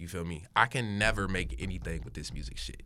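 A man with an American accent has a very deep, low pitch and a bright, sharp tone, with some vocal fry. He talks at a moderate pace with very wide pitch swings. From Hickory, North Carolina. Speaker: rapper. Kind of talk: casual chat.

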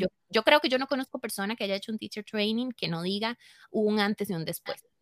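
A woman with a Costa Rican accent talks at a fairly quick pace and a fairly high pitch, with lively intonation. The sound is dry and close, with no echo. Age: 30s. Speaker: yoga teacher and studio owner. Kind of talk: interview.

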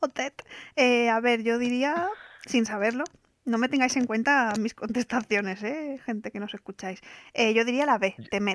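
In an unremarkable speaking voice, a woman goes at a fairly slow pace with ordinary pitch variation, and the sound is dry and close with no echo. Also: fairly high pitch for a woman. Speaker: podcast co-host. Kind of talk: casual chat, film trivia quiz.

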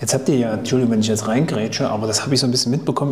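Audible room echo and noticeable background noise accompany a man's voice. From Thuringia, Germany. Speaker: podcast host. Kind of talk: casual interview.

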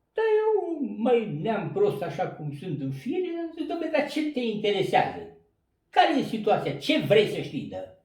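A man's high voice with very wide pitch swings and big swings in loudness, fairly slow, with audible room echo. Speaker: retired coal miner. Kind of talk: storytelling interview. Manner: animated.

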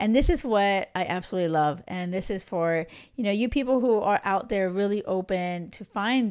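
A woman with a medium-pitched voice talks at a moderate pace with ordinary pitch variation, in an ordinary speaking voice, on a very clean recording with a silent background. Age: 40s. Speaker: love coach, podcast host. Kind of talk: casual solo monologue. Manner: chatty, filler-heavy.

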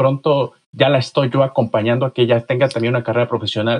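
This is a man speaking. His pitch is medium. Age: 40s. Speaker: author. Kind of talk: interview. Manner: halting.

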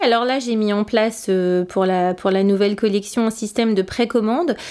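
Fairly even intonation from a woman, delivered at a moderate pace. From northern France. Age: 40s. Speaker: fashion brand founder. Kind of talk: interview testimony. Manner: halting, many fillers; passionate.

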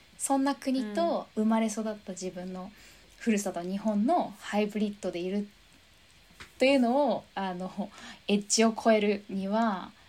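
A woman's normal speaking voice at a fairly slow pace and medium pitch, with ordinary pitch variation and big swings in loudness. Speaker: fitness instructor. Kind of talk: casual interview chat.

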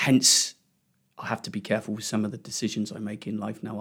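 A man talks very fast at a fairly low pitch with vocal fry. His intonation stays fairly even. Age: 60s. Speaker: cardiac arrest survivor. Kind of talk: interview testimony. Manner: halting, many repetitions.

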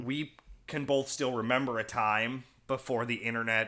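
A man's bright, sharp tone comes through a very clean recording with a silent background. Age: early 30s. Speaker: podcast host.

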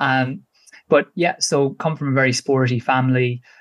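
With a dry, close sound and no echo, a man speaks at a moderate pace in a medium pitch with fairly even intonation. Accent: Irish. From Ireland, Kilkenny. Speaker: podcast guest, runner. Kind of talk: casual interview chat.

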